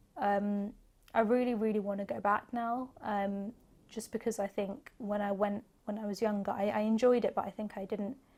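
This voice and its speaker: A woman with a London accent speaks at a moderate pace. Her medium-pitched voice keeps a fairly even intonation. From northwest London, England. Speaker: actor. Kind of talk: interview answer.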